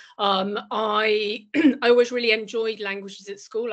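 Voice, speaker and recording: A woman with a Lincolnshire accent speaks at a moderate pace. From northern England, northeast Lincolnshire. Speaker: businesswoman, career role model. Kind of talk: panel talk to students.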